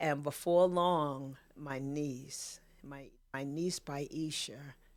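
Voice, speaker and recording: With a New York accent, a woman speaks at a very slow pace in a very deep, low pitch and fairly even intonation. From New York City (Queens). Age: 60s. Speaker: podcast guest, photographer and author. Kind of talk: casual interview chat. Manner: emotional, halting with repetitions.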